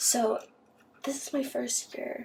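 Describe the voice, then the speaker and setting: Whispering and soft-spoken, a woman talks at a very slow pace. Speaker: ASMR creator. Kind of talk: casual talk to camera. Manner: whispered, soft-spoken.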